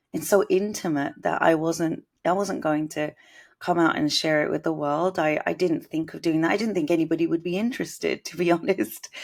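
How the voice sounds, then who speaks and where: A woman with a British accent, fairly low-pitched and fairly quick, with ordinary pitch variation, on a very clean recording with a silent background. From Britain, Indian household. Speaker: musician and composer. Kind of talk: interview. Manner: musical, effortless.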